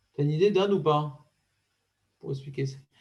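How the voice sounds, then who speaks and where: With lively intonation, a man talks in a space that carries audible room echo. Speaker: rabbi teaching Talmud. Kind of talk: Talmud study class. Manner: fast.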